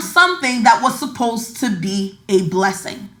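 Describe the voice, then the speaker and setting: Audible room echo surrounds a woman speaking in an animated tone. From Nigeria. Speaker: podcast host, money mindset coach. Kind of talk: casual podcast monologue.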